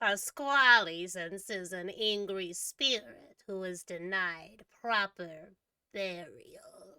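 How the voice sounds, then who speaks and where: A put-on character voice at a very slow pace. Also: female-sounding voice, medium pitch for a woman. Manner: spooky, ominous.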